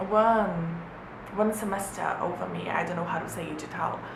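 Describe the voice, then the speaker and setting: Speech comes at a moderate pace, with audible room echo and noticeable background noise. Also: woman. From Brazil. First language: Portuguese. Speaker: vlogger, former exchange student. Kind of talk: casual vlog talk to camera. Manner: halting, many repetitions and fillers.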